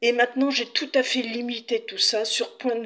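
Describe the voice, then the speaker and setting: This woman has a high-pitched voice. She talks at a very slow pace. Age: 60s. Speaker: patient sharing her illness experience. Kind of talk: testimony.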